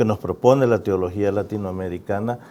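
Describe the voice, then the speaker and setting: A man with a Salvadoran accent speaks in a dark, mellow tone. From El Salvador, San Salvador. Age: 60s. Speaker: musician and author. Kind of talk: interview.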